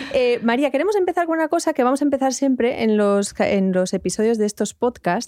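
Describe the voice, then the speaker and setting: A woman speaks fairly quickly at a high pitch in a dark, mellow tone, with lively intonation, very even loudness and hardly any pauses. The sound is dry and close, with no echo. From Basque Country, Spain. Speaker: podcast host. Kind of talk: casual chat. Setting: studio.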